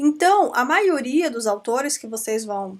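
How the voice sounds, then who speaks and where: On a very clean recording with a silent background, a woman speaks in a high pitch with an Amazonian Brazilian accent. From Brazil, Amazonas. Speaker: law professor. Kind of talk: lecture. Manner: conversational, with frequent fillers.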